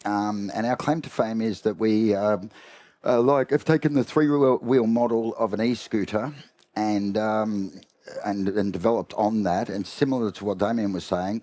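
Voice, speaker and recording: A man's fairly low, dark, mellow voice in an Australian accent, at a moderate pace with ordinary pitch variation. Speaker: company executive, panelist. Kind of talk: panel discussion.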